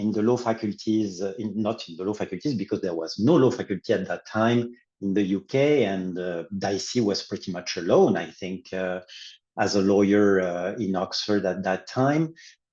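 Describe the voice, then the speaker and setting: In a French accent, a man with a dark, mellow tone and a fairly low pitch talks at a moderate pace with ordinary pitch variation over a quiet background. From France. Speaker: law professor. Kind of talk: academic panel discussion.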